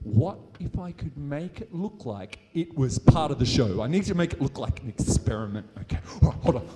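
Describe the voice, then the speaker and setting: Upbeat and delivered at a moderate pace, the speech in an Australian accent has very wide pitch swings and big swings in loudness. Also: man. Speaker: science show performer. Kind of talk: live science show for a school audience. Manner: high-energy, upbeat.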